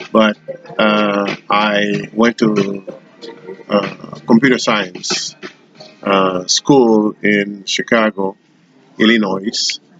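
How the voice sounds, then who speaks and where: Music plays in the background while a man speaks at a very slow pace with long, frequent pauses. His fairly low voice is monotone and flat in intonation, with very even loudness. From Haiti. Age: 60s. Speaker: retired computer professional. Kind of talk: interview. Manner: hesitant with fillers.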